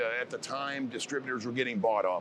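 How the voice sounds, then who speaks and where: This man has an unremarkable speaking voice, pitched at a medium level. He speaks in an American accent with fairly even intonation. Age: 50s. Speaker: sales manager. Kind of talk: casual interview.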